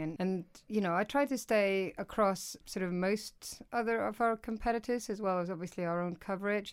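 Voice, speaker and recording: Her intonation is lively as this woman speaks. The recording is very clean, with a silent background. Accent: Icelandic. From Iceland. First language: Icelandic. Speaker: news executive editor. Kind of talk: interview.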